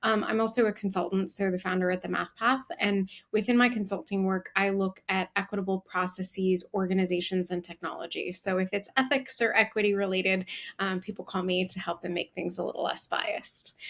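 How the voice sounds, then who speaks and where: Speaking at a fairly quick pace with hardly any pauses, a woman with an American accent has a plain, everyday voice, medium pitch and fairly even intonation. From United States. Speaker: diversity and inclusion executive. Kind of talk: interview.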